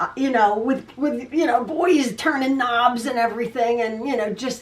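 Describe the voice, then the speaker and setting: Noticeable background noise runs under a woman's high-pitched voice. She talks at a moderate pace with fairly even intonation. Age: 60s. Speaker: quilting video host. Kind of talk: casual chat. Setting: home sewing room. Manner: stutters sometimes; chatty, repetitive.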